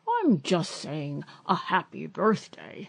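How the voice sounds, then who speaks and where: A female-sounding, raspy put-on character voice sits at middle pitch. It moves at a fairly slow pace. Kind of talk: bedtime story. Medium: read story. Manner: pompous, grand-sounding.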